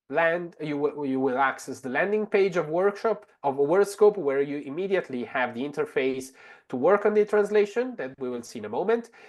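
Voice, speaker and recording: A man's fairly high voice with lively intonation. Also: hardly any pauses, quiet background. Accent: Italian. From Italy. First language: Italian. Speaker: translator and language technology expert. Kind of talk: webinar tutorial demo. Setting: online webinar. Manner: many fillers and restarts.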